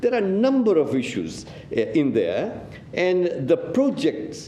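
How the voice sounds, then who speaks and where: A man with a non-native accent talks at a fairly slow pace and very even loudness. Noticeable background noise and audible room echo fill the recording. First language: not English. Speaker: city councillor. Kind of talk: council meeting debate speech. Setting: council chamber meeting.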